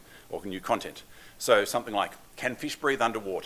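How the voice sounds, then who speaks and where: The voice has a bright, sharp tone and races along at a very fast pace. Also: man. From Australia. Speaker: developer advocate. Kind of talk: conference talk. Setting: stage with audience. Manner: fast when excited; casual, self-deprecating.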